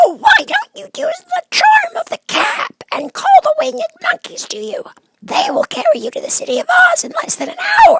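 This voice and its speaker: This is a put-on character voice. It is extremely high-pitched and squeaky. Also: moderate pace. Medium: read story. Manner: quick, friendly.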